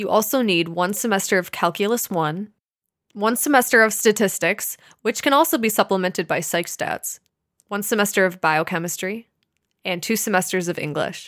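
A woman talks at a moderate pace in an unremarkable speaking voice of medium pitch. Her pitch variation is ordinary, and the recording is very clean with a silent background. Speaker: medical student podcast co-host. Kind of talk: casual educational chat.

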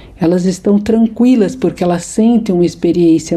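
Behind a woman speaking at a fairly low pitch, background noise is noticeable. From Brazil, São Paulo. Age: 60s. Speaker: psychologist and author. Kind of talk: interview.

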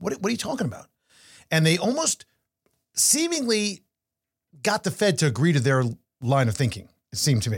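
Long, frequent pauses break up a man's fairly quick speech, which sits at a fairly high pitch with very wide pitch swings. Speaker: podcast host and portfolio manager. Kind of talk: casual chat. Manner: fast.

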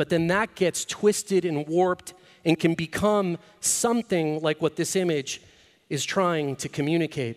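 A man's high-pitched voice at a moderate pace, with ordinary pitch variation and a dry, close sound with no echo. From Latin America (Mexico, Argentina, Venezuela, Caribbean). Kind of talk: inspirational talk. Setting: stage with audience.

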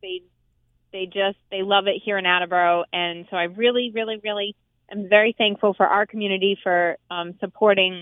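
A woman's unremarkable speaking voice, medium pitch, fairly even intonation, and moderate pace. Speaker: farmers market representative. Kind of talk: radio interview. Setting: phone call.

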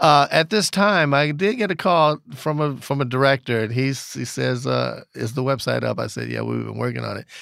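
A man with an American accent at a moderate pace with hardly any pauses, on a very clean recording with a silent background. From US Midwest, Flint, Michigan. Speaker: record store owner and former audio mixer. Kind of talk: interview storytelling.

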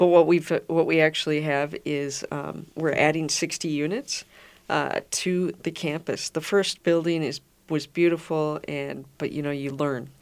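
A woman with an Upper Midwest accent talks at a fairly slow pace in a very deep, low voice with monotone, flat intonation, recorded very cleanly against a silent background. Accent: Upper Midwest American. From Minnesota, Minnetonka. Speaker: founder of a memory care community. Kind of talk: radio interview. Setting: radio studio.

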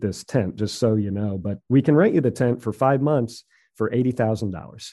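A man with an American accent talks in a normal speaking voice at medium pitch, with ordinary pitch variation. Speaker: hot tub retailer, business owner. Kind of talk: interview.

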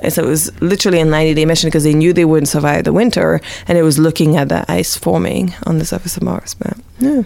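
Over noticeable background noise, a woman talks at a very fast pace in a very deep, low voice with lively intonation. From Montreal, Quebec. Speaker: space scientist. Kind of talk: casual chat.

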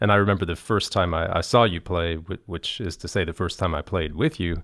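A man with an American accent speaks in a very deep, low voice with fairly even intonation. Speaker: podcast host, orchestra violinist. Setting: studio at concert hall.

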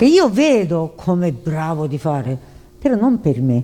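A woman speaks with a Japanese accent. Her pitch is fairly low and her pace fairly slow. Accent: Japanese-accented Italian. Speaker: animator. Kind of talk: interview. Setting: convention booth. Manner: halting.

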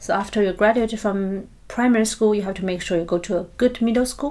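Here is a woman with a Chinese accent. Her voice sits fairly high in pitch. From China. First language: Mandarin Chinese. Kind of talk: interview.

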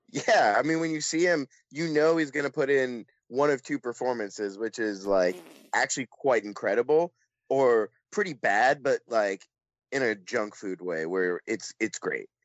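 A plain, everyday voice from a man, medium in pitch, with lively intonation at a moderate pace. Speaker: film festival coordinator and writer. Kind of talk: casual chat. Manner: casual, filler-heavy speech.

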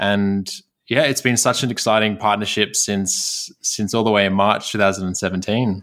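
A man's fairly low, monotone voice in an Australian accent at a moderate pace, on a very clean recording with a silent background. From Sydney, Australia. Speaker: recent graduate dentist. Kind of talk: casual interview chat.

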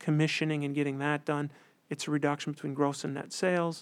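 Monotone, flat intonation in a Wisconsin accent, on a very clean recording with a silent background. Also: man. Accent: Upper Midwest (Wisconsin). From central Wisconsin. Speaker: accountant. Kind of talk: interview.

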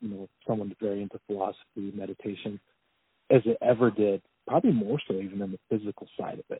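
A man talks at a fairly quick pace with ordinary pitch variation. He has an unremarkable speaking voice. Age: 30s. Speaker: professional strongman. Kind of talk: casual interview conversation. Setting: phone call.

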